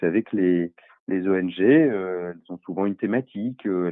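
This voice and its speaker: This man's very deep, low pitch comes at a moderate pace. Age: 50s. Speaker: NGO founder. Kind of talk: interview. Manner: halting.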